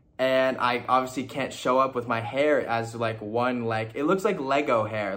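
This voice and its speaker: Over clear background noise and an echoing room, a man talks at a middling speed. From Toronto, Canada, then Indiana from age 14. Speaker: fashion model. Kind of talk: casual chat.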